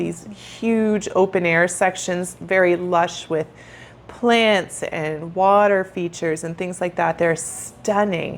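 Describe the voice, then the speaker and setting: A woman's unremarkable speaking voice at medium pitch, with a Canadian accent. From Canada. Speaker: travel and retirement vlogger. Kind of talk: casual chat.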